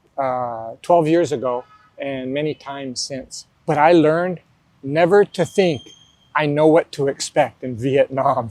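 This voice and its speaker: A man's voice with ordinary pitch variation and a dry, close sound with no echo. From US, New Mexico. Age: 60s. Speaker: retired school principal. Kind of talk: interview.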